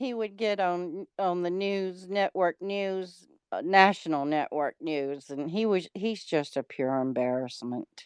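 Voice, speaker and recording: In a Mississippi accent, a woman speaks at a fairly slow pace with hardly any pauses, medium pitch and lively intonation, in a dry, close sound with no echo and a quiet background. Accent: Mississippi Southern. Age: 60s. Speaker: livestreamer. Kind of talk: casual chat.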